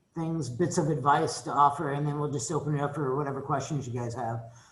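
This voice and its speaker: A man's voice with ordinary pitch variation carries an audible room echo. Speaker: economics professor. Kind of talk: welcome talk to new students. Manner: casual, conversational.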